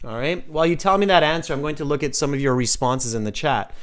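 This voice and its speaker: A man with a Canadian West Coast accent and a fairly high pitch talks at a fairly quick pace. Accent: Canadian West Coast, North American. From western Canada. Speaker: English exam teacher. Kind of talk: live online class. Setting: live stream. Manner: clear model pronunciation for repeating.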